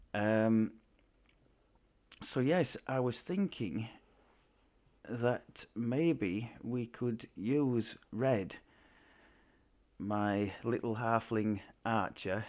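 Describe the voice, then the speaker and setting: A man talks very slowly at a medium pitch, leaving long, frequent pauses. His pitch varies in an ordinary way, on a very clean recording with a silent background. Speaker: video game streamer. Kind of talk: gameplay commentary. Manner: hesitant, many fillers.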